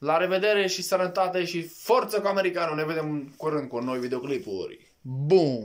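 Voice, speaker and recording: A man's high-pitched, animated voice at a moderate pace with hardly any pauses, over a quiet background. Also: lively intonation. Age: 20s. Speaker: vlogger. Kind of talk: casual chat. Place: home room. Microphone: phone near.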